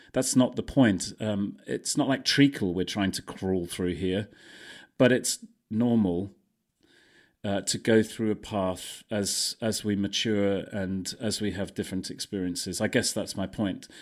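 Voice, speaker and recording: In a normal speaking voice, a man talks at a fairly slow pace with fairly low pitch and fairly even intonation, on a very clean recording with a silent background. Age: 50s. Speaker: breathwork coach and brand consultant. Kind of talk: casual interview chat.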